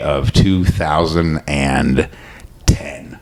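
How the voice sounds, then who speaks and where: Noticeable background noise surrounds the speaker. He is a man with a Midwestern American accent. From Michigan, US Midwest. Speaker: podcast host and comedian. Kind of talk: casual chat.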